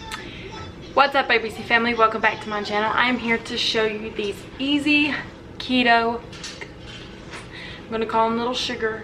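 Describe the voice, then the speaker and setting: Over noticeable background noise, a woman with a fairly high voice speaks at a moderate pace with fairly even intonation. Her speech has long, frequent pauses. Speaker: cooking vlogger. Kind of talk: recipe tutorial. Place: kitchen. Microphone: phone near.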